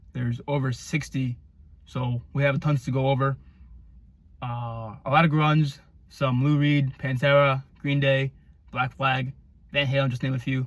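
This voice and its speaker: A man talks at a medium pitch in a monotone, flat intonation. His somewhat breathy voice breaks into long, frequent pauses. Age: 20s. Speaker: music reviewer on YouTube. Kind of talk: casual album review monologue. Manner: fast; stammering.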